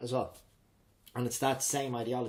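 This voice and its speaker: Here is a man with an Irish accent. He talks at a fairly quick pace. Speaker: drama teacher and improv coach. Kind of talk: interview. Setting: at the host's home. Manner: fast; high energy.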